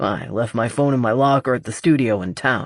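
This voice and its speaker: A man's raspy, put-on character voice at a medium pitch, with ordinary pitch variation and a fairly quick pace. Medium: read story. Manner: dry, calm.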